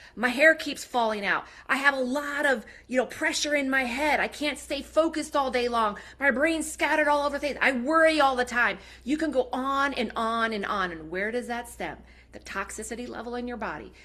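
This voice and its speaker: A woman speaks in a raised, projected voice, high in pitch with a bright, sharp tone. She sounds animated at a fairly quick pace, with ordinary pitch variation. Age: 40s. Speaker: product presenter. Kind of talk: sales pitch. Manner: fast.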